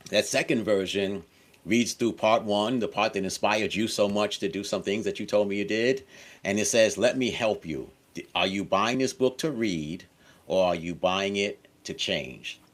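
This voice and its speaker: A man's fairly low, plain, everyday voice at a moderate pace with ordinary pitch variation, on a very clean recording with a silent background. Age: 60s. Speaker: author and course creator. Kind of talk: interview.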